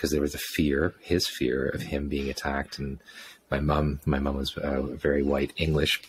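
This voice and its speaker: Vocal fry in a man's very deep, low voice, moving at a moderate pace. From England, south of London, then Toronto from age ten. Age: 50s. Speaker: sound therapist. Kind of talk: interview conversation. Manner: halting, many repetitions and fillers.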